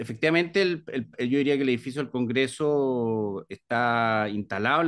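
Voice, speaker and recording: Over a quiet background, a man talks fairly slowly in a medium-pitched voice with ordinary pitch variation. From Chile, Viña del Mar; Chile. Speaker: library director; interviewee. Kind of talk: interview. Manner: hesitant, many fillers. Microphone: video call.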